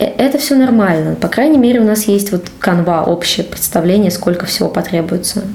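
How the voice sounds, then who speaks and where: A woman talks at a medium pitch and a fairly quick pace with ordinary pitch variation. Noticeable background noise and audible room echo surround her voice. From Russia, Cheboksary. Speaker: game writer. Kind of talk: casual interview.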